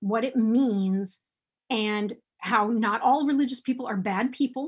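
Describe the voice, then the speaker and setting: A woman with an American accent speaks at a fairly slow pace, her pitch fairly high with ordinary variation, on a very clean recording with a silent background. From United States. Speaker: sex and relationship advice writer. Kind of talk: interview conversation. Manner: heavy sighs.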